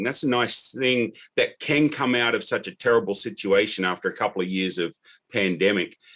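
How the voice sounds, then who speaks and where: A man's medium-pitched voice with an American accent, lively intonation and a fairly quick pace. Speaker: podcaster and author of dad joke books. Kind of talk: podcast interview.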